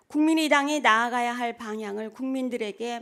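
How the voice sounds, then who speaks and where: The pitch varies in an ordinary way. It belongs to a woman with a high voice. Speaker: meeting chair. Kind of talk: formal meeting proceedings. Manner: formal.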